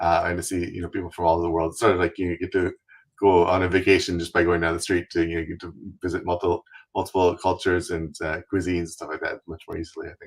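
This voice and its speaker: With a Canadian accent, a man talks very fast in a very deep, low pitch, somewhat breathy and monotone with flat intonation, on a very clean recording with a silent background. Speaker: travel website founder, wheelchair user. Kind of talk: interview. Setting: live stream.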